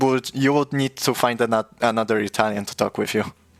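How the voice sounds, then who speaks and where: With a Polish accent, a man speaks using ordinary pitch variation. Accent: Polish accent, noticeable. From Poland. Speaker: streamer. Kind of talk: casual chat. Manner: halting, frequent stutters and restarts.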